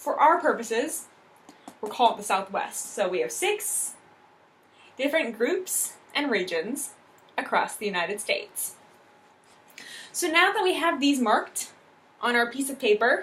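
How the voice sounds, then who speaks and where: With audible room echo, a woman speaks at a high pitch and a fairly slow pace, using very wide pitch swings and long, frequent pauses. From US Midwest. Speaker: English teacher. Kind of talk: classroom lesson. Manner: clear, instructive.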